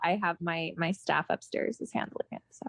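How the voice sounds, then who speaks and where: Speaking with an American accent, a woman keeps a moderate pace and ordinary pitch variation, with a dry, close sound and no echo. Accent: slightly European-tinged New York. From New York City. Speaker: musician and antiques dealer. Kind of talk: casual interview chat.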